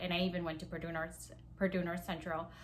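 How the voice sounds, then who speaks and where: Amid audible room echo, a woman with a Palauan accent speaks in a fairly low pitch with a bright, sharp tone. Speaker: small business owner. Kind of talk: casual vlog talk. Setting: at home. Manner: casual, many fillers.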